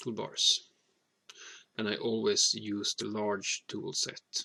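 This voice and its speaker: A man's very slow speech, with a dry, close sound and no echo. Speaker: hobbyist maker. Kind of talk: tutorial. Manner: halting, with frequent fillers.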